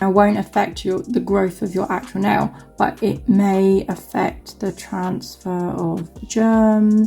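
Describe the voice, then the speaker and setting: A woman speaks very slowly at a medium pitch with fairly even intonation, with music playing behind her. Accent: southern English. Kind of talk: casual nail tutorial talk to camera. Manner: chatty, rambling.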